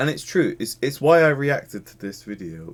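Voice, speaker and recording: In an English accent, a man talks with very wide pitch swings. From England. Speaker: YouTube reactor. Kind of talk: video reaction commentary. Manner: animated.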